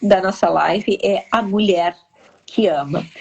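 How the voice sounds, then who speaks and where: There is noticeable noise in the background. A woman is talking over it. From southern Brazil (Rio Grande do Sul). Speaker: live stream host. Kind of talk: casual interview chat. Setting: live stream.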